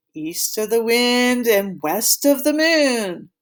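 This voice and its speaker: This put-on character voice sits fairly high in pitch and moves at a very slow pace. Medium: read story.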